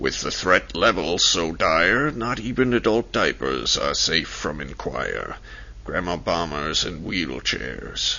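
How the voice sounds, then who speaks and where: Over clear background noise, a man uses a put-on character voice with a very deep, low pitch, speaking at a fairly slow pace. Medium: read story. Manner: smug and mocking.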